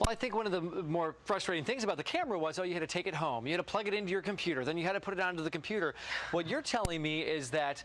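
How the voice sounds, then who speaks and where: The speech comes at a very fast pace with very even loudness over noticeable background noise. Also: man. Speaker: TV show host. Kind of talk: morning TV segment host, interviewing a guest.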